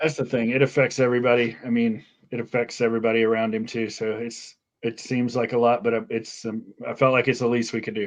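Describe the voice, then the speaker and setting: A man with an American accent and medium pitch talks at a very fast pace in a monotone, flat intonation. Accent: trained away Southern. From US South. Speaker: podcast co-host. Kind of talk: podcast interview.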